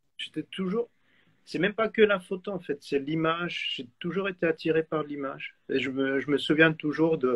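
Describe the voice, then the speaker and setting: With a dry, close sound and no echo, a man speaks at a moderate pace in a fairly high voice with ordinary pitch variation. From Switzerland. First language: German (speaking French). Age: 40s. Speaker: photographer. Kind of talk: interview. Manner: halting.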